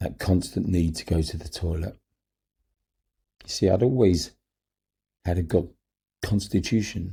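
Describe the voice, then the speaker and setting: A man with a London accent, a very deep, low pitch and a dark, mellow, somewhat breathy tone, with ordinary pitch variation, a moderate pace and long, frequent pauses. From London, England. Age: 70s. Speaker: cancer survivor telling his story. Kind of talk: personal memoir narration.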